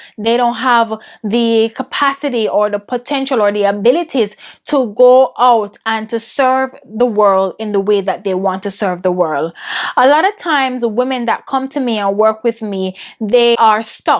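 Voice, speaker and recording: A fairly high-pitched woman with a Jamaican accent. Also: ordinary pitch variation, moderate pace. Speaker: women's business and mindset coach. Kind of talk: interview answers.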